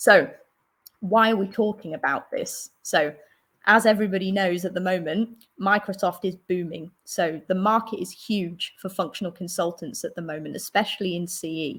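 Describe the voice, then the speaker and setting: The speaker has a London accent, fairly even intonation and a moderate pace. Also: woman, medium pitch for a woman. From London, England. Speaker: solution architect. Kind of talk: presentation. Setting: online stream with screen share.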